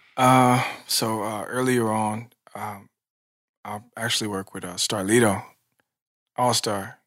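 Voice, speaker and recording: The speaker has an American accent and a monotone, flat intonation. The pace is fairly slow, with long, frequent pauses and big swings in loudness. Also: man, fairly low pitch for a man. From Nashville, Tennessee (US South). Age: 30s. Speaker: music producer. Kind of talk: casual interview. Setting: studio. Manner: halting, many fillers.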